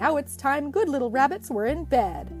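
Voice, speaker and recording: A woman speaks in a put-on character voice at a moderate pace. Clear music plays in the background. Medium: read story. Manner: warm, reassuring.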